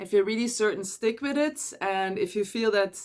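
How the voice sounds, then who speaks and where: A woman speaks with a Dutch accent and ordinary pitch variation. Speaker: energy coach. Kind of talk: casual advice monologue.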